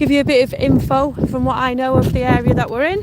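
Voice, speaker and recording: Over noticeable background noise, a woman with a Lancashire accent speaks at a fairly slow pace. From Lancashire, northern England. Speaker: vlogger. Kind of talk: casual chat.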